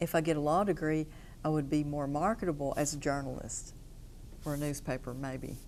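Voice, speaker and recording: This woman's pitch is very deep and low, with an Appalachian accent. She keeps a moderate pace. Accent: Appalachian Kentucky. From Eastern Kentucky, Hazard. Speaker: attorney. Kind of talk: interview testimony. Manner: hesitant, many fillers.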